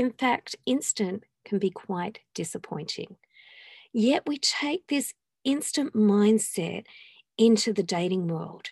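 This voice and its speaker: Speaking very slowly, a woman sounds somewhat breathy at a fairly high pitch. The sound is dry and close, with no echo. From England. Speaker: dating coach and podcast host. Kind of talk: solo podcast monologue. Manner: conversational.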